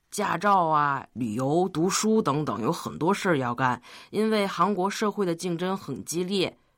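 In a normal speaking voice, a woman talks at a medium pitch and a fairly slow pace with lively intonation on a very clean recording with a silent background. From Tianjin, China. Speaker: university student. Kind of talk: radio interview.

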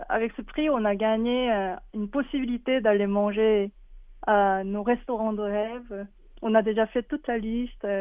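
Speaking very slowly with a Korean accent, a woman uses a fairly high pitch with ordinary pitch variation. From South Korea. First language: Korean (speaking French). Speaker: illustrator. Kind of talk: interview. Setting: phone call.

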